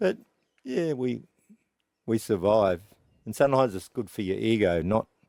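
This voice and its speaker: With an Australian accent, a man speaks at a moderate pace in a dark, mellow tone of fairly low pitch, using lively intonation and long, frequent pauses. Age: 70s. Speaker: veteran country musician. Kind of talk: casual interview. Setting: inside a tour bus. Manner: halting, with many fillers.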